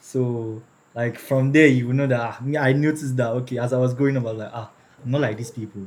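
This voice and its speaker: Speaking very fast with fairly even intonation, a man with a Nigerian accent has a medium pitch and a somewhat breathy voice. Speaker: person with albinism sharing his story. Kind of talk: personal storytelling in interview.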